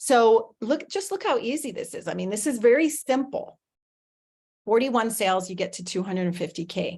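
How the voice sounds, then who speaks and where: A woman's fairly high, somewhat breathy voice, animated in tone and fairly quick in pace. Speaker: affiliate marketing presenter. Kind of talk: webinar sales presentation. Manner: fast.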